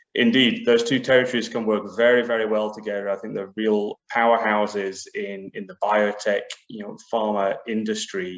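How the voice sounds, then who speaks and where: A man's fairly low voice at a moderate pace, with hardly any pauses, big swings in loudness, and monotone, flat intonation. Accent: British. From UK. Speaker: biotech business executive. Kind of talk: panel discussion.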